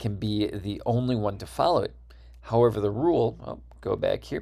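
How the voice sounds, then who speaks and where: A man with an American accent at a moderate pace, on a very clean recording with a silent background. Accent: Midwestern (Wisconsin), sometimes slips out. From US Midwest (Wisconsin). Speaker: university lecturer. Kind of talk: lecture.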